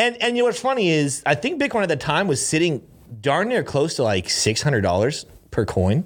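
An animated man talks at a fairly quick pace and fairly high pitch, with vocal fry, very wide pitch swings and very even loudness on a very clean recording with a silent background. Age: 20s. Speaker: podcast host. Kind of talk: casual chat.

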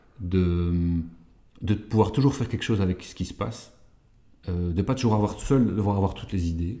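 At a moderate pace, a man talks in a fairly low pitch with a dark, mellow tone, a somewhat breathy quality, ordinary pitch variation, and long, frequent pauses. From Belgium, Walloon Brabant. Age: 40s. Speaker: improv performer and social entrepreneur. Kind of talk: interview. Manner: halting, many fillers and repetitions.

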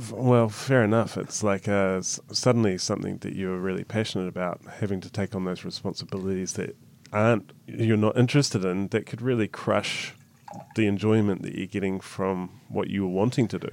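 A man with a New Zealand accent, fairly low-pitched, at a fairly quick pace and with fairly even intonation. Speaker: podcast host. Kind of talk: interview.

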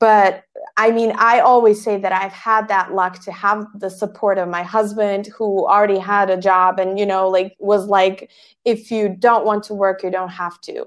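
Speaking with a Bosnian accent, a woman uses a medium pitch, a flat, monotone intonation and a moderate pace on a very clean recording with a silent background. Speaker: podcast agency founder. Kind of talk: interview.

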